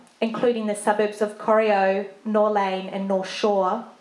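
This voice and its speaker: Against noticeable background noise, a woman with a New Zealand accent speaks at a moderate pace in a fairly high pitch. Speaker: speaker presenting a charity at an event.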